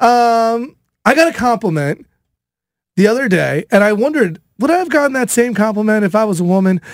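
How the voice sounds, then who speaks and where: Talking at a fairly quick pace, a man with a high pitch uses lively intonation and an animated tone. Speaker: radio host. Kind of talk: casual chat.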